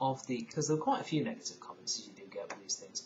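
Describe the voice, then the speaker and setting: A man's fairly high voice in a northern English accent, with very wide pitch swings. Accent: broad northern English, mistaken for Irish. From northern England (Lake District, Isle of Man). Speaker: video blogger. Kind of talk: casual vlog monologue. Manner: hesitant, many fillers and repetitions.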